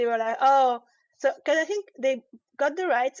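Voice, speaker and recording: A woman's high voice in a French accent, at a fairly quick pace. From France. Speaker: comic artist. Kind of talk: interview. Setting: live online show. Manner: halting.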